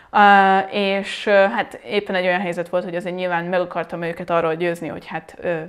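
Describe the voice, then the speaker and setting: A woman's medium pitch and fairly even intonation at a moderate pace, over a quiet background. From Hungary. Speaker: language teacher. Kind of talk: tutorial. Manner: hesitant, many fillers. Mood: reflective, anecdotal. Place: home room.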